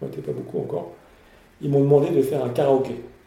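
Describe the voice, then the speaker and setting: In a room with audible echo, a man talks at a very fast pace with lively intonation and a medium pitch. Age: 50s. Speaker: entrepreneur. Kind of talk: interview. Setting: company offices. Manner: halting, frequent repetitions.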